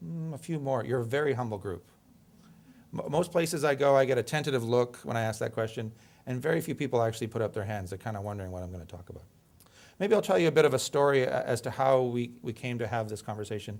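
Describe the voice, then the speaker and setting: Over a silent background in a very clean recording, a man of medium pitch speaks at a very fast pace with big swings in loudness. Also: lively intonation. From Canada. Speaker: emergency physician and medical educator. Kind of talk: lecture. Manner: conversational, interactive.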